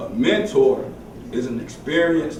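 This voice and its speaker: A man talks in a space with audible room echo, and noticeable background noise is present too. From Tennessee. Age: 30s. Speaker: motivational speaker. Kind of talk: motivational talk.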